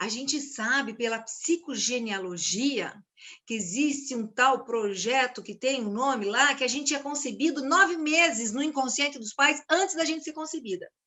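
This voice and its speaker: With a high pitch, a woman talks at a fairly slow pace. Her tone is animated and her intonation lively. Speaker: systemic constellation facilitator. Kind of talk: informal talk to camera.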